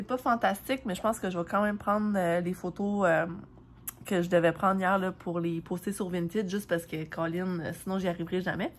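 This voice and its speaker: Talking at a fairly quick pace, a woman uses a medium pitch with a Quebec accent. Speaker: vlogger. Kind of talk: casual vlog talk. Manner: casual, many fillers.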